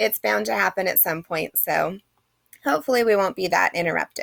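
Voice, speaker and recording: A woman's voice swings very widely in pitch and shows vocal fry. The sound is dry and close, with no echo. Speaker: college English instructor. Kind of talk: lecture. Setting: recorded at home.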